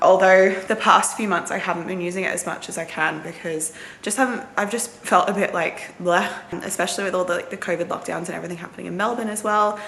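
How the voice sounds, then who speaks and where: A woman with an Australian accent talks at a very fast pace, at a medium pitch with fairly even intonation. Noticeable background noise and audible room echo fill the clip. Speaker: nursing student vlogger. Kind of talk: casual vlog.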